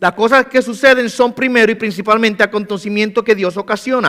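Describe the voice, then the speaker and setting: Bright and sharp in tone, a man's high voice moves at a fairly quick pace in a dry, close recording with no echo. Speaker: pastor. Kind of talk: sermon. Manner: fast.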